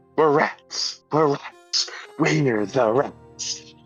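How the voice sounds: A man's put-on character voice at medium pitch, with faint music in the background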